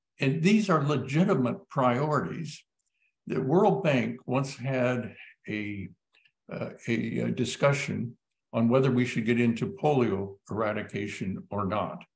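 A man's fairly slow, vocal-fry voice with very wide pitch swings. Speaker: epidemiologist and physician. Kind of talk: panel discussion. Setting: online live web event. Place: home room. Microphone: webcam.

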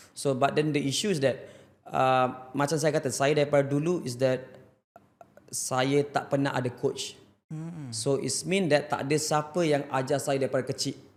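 A man uses a normal speaking voice at a fairly high pitch. His pace is fairly slow and his intonation fairly even. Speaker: motorcycle racer. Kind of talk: casual interview chat.

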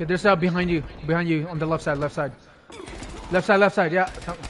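Light background noise sits under a man's animated tone as he talks at a very fast pace in a high pitch. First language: not English. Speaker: gaming streamer. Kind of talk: casual gaming chat. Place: home room. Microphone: headset.

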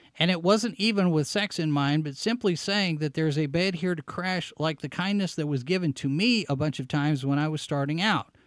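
A man speaks at a fairly quick pace and a fairly high pitch, with hardly any pauses and ordinary pitch variation. His tone is animated, the sound dry with no echo, and the background quiet. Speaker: show host and website editor; show host. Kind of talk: live-stream commentary show. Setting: studio live broadcast. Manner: animated, on-air energy. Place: home room. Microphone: studio mic.

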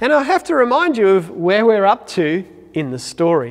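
A man at a moderate pace, quiet background. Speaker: church minister. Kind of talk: sermon. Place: church. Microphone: lapel.

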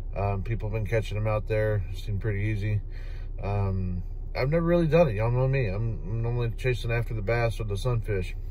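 A man speaks at a fairly quick pace, the sound dry with no echo and light background noise behind him. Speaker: fishing vlogger. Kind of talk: casual vlog chat. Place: car. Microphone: phone near.

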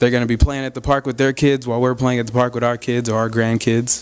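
A man with an American accent, very fast pace and fairly even intonation. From Arizona. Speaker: reentry program manager, former inmate; guest. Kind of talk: public talk to a club audience. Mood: friendly, earnest. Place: hall. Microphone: podium.

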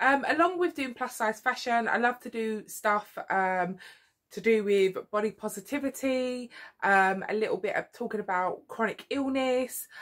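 Moderate pace and ordinary pitch variation from a woman, against a quiet background. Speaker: vlogger. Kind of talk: casual vlog chat. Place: home room.

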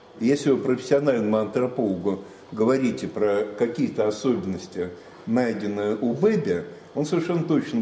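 A man talks at a moderate pace with very wide pitch swings, with audible room echo and light background noise. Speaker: lecturer. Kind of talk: lecture. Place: classroom. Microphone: camera far.

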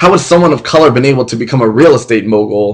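Against a quiet background, the speech moves at a very fast pace with ordinary pitch variation. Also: man. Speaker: spoken word poet. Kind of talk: spoken word poetry performance. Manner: impassioned. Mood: angry, impassioned. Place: home room. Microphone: webcam.

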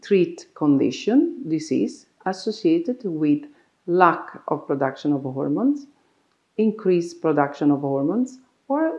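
Her Italian accent clear, a woman speaks at a fairly slow pace with a medium pitch and very wide pitch swings over a quiet background. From Italy. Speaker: doctor. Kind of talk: explainer talk to camera. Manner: halting. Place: office. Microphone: lapel.

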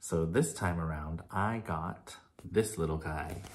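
A man's very deep, low, somewhat breathy voice at a fairly slow pace. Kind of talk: casual vlog chat. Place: home room. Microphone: phone near.

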